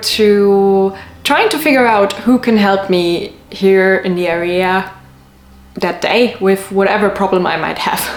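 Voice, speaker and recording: Amid noticeable background noise and audible room echo, a woman speaks at a very slow pace with medium pitch and fairly even intonation. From city in a foreign country, not Sweden. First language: not Swedish, not necessarily English. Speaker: vlogger. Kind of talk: casual vlog talk to camera.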